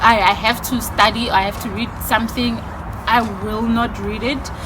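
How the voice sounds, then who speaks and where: A woman's fairly high voice, fairly slow and fairly even in intonation, with audible room echo and noticeable background noise. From South Africa, Limpopo and Mpumalanga. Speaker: YouTuber. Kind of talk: casual Q&A vlog. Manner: loud.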